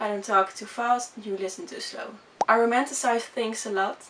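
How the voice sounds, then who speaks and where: Over noticeable background noise, a woman with a Dutch accent talks at a fairly quick pace, her fairly high voice keeping fairly even intonation. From Netherlands. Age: 20s. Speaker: vlogger. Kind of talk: casual chat. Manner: fast; halting.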